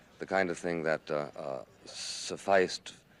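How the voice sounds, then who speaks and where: A man is speaking. Vocal fry runs through his voice. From New York City. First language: Spanish. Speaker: conservative writer and political commentator. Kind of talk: interview answer.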